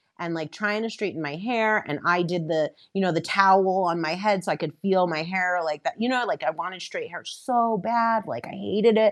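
A woman talks at a fairly quick pace in an unremarkable speaking voice, her medium pitch carrying ordinary pitch variation. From New York area, Westchester County. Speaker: filmmaker. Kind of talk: casual chat.

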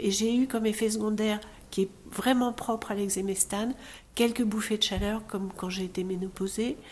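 At a moderate pace, a woman speaks with a medium pitch, a somewhat breathy quality and ordinary pitch variation. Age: 60s. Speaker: breast cancer patient. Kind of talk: testimony.

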